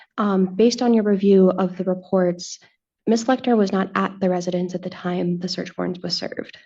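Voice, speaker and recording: A woman mumbles at a fairly quick clip in a dark, mellow tone, her medium pitch holding fairly even. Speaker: defense attorney. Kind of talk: cross-examination in court. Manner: mumbling.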